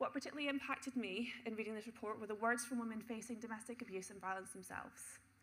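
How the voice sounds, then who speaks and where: The speech runs at a very fast pace with fairly even intonation, with noticeable background noise. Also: woman. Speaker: city councillor. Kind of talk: council debate speech.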